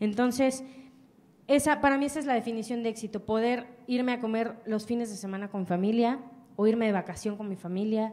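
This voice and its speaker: With a dark, mellow tone and fairly high pitch, a woman talks at a fairly quick pace with ordinary pitch variation. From Mexico. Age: 20s. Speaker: entrepreneur; speaker. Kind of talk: motivational talk. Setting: stage with audience. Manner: animated. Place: hall. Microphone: handheld.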